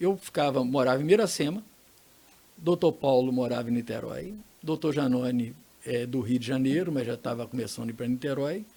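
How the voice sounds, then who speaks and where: The speech moves at a moderate pace. Its tone is dark and mellow, and the intonation is lively. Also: man. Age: 70s. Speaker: laboratory co-owner, entrepreneur. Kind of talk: podcast interview.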